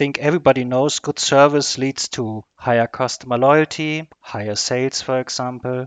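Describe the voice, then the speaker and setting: Delivered at a moderate pace with hardly any pauses, the speech has fairly even intonation and a dry, close sound with no echo. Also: man, medium pitch for a man. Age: 40s. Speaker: customer service manager. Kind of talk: interview. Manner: halting.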